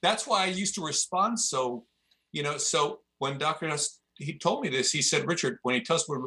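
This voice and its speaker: In a plain, everyday voice, a man with fairly high pitch talks at a moderate pace with lively intonation. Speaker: jiu-jitsu instructor and author. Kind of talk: casual interview chat.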